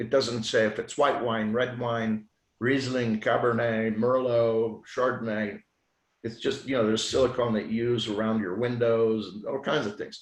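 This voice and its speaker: A medium-pitched man at a moderate pace, his intonation monotone and flat. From Switzerland. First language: French. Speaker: physician. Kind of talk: podcast interview.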